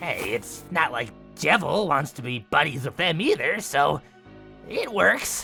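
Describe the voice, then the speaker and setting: A man's cartoonish character voice, fairly high in pitch and fairly slow, with clear music in the background. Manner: bubbly, upbeat.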